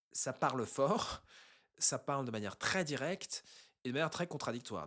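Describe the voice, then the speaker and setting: Over a very clean recording with a silent background, a man talks at a fairly slow pace in a fairly high pitch. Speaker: online intercultural business coach. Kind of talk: educational talk to camera.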